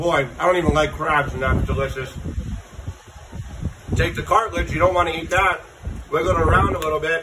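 Fairly quick male speech amid noticeable background noise. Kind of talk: tutorial. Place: open country. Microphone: phone near.

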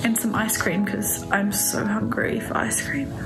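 Clear music can be heard behind her. The woman's delivery moves at a moderate speed. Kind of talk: casual vlog chat. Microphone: phone near.

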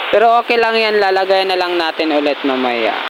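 A man's high pitch with lively intonation. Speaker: vlogger. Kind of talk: casual vlog narration. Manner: chatty, upbeat.

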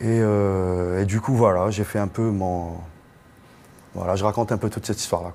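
This man's voice has a fairly low pitch and a dark, mellow tone. His intonation is fairly even, with long, frequent pauses. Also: moderate pace. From Algeria, Algiers; Algeria. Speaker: singer; guest. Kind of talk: panel discussion. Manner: casual. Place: hall. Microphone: lapel.

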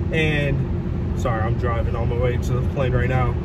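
A man speaks at a moderate pace amid loud background noise, the sound dry and free of echo. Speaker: vlogger. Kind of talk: casual vlog chat. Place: car. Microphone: phone near.

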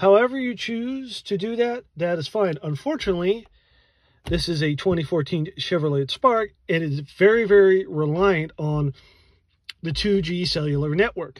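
A man with a high pitch, a fairly slow pace, and a quiet background. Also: dry sound with no echo. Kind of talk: casual tutorial explanation. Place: car. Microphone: phone near.

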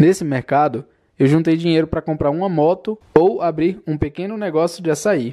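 Against a quiet background, a man with a dark, mellow tone speaks at a moderate pace in a fairly high pitch with ordinary pitch variation. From Brazil, Federal District (Samambaia). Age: 20s. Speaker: YouTuber. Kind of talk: personal storytelling narration.

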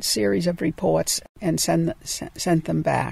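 Speaking in an American accent, a woman keeps a fairly slow pace. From Boston. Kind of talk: interview answer.

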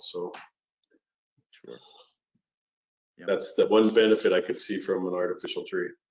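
The background is quiet, though room echo can be heard. Speech moves at a moderate pace. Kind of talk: casual chat before a presentation. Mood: joking, relaxed. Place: home room. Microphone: video call.

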